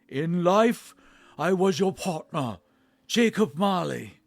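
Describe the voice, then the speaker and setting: Using a put-on character voice, a man projects loudly in a high pitch at a fairly slow pace. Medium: read story. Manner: solemn, grave.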